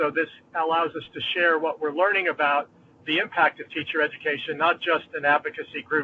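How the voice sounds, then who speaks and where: A man with an American accent, fairly high-pitched, monotone and flat in intonation, at a fairly quick pace. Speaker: dean of education. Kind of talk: online meeting introduction.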